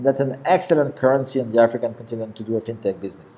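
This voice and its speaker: Speaking very fast, a man with a strong French accent uses a medium pitch. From France. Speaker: investor in African fintech. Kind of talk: interview talk. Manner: halting, many fillers and repeats.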